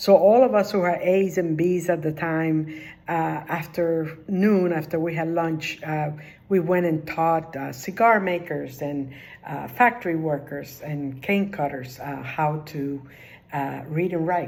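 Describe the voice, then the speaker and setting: A woman with a Spanish accent speaks at a fairly slow pace in a very deep, low pitch. Her pitch varies in an ordinary way, and audible room echo surrounds her voice. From Cuba, then New Jersey from age ten. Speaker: retired social work official. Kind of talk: personal career talk. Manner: halting, many filler words.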